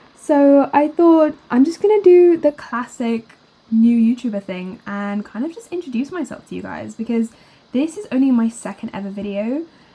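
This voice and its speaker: In a British accent, a woman speaks with a high voice, lively intonation and big swings in loudness over noticeable background noise. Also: moderate pace. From UK. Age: 20s. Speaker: art YouTuber and student. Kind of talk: voiceover narration over drawing video. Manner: casual, chatty.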